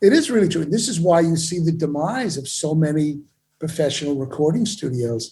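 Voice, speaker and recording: This man talks at a fairly quick pace with lively intonation. His pitch is fairly high, and his tone is dark and mellow. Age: 70s. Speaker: audio equipment company owner. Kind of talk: interview. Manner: animated.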